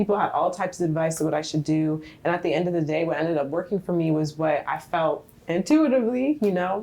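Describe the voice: The speaker is soft-spoken, with a dark, mellow tone and ordinary pitch variation. The pace is fairly quick. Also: woman, low pitch for a woman.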